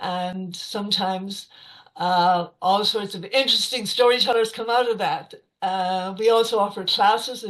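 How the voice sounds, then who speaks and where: A woman speaks with an Irish accent. Her pitch is medium and her pace moderate. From west of Ireland. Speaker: storyteller. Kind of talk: casual talk to an online audience. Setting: video call. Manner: hesitant, many fillers.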